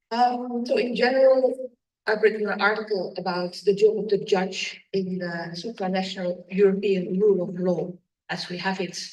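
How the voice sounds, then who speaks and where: A woman at medium pitch, moderate pace and fairly even intonation, with big swings in loudness and audible room echo. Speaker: judge. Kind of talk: conference talk.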